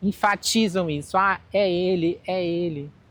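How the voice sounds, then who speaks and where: The speaker is a woman with fairly even intonation. She talks at a very slow pace. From Brazil, Manaus (Amazonas). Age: 40s. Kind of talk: personal testimony interview.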